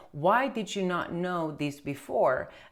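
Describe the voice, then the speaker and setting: The woman's voice sits fairly low, captured in a very clean recording with a silent background. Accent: Romanian. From Romania. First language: Romanian. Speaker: tax accountant. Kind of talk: casual chat. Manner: halting.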